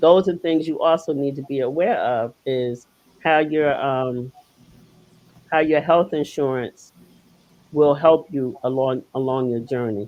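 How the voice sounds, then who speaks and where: This woman's pitch is very deep and low, with ordinary variation. Her pace is fairly slow, broken by long, frequent pauses. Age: 60s. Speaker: guest speaker sharing kidney transplant and lupus journey. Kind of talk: casual interview chat. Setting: livestream.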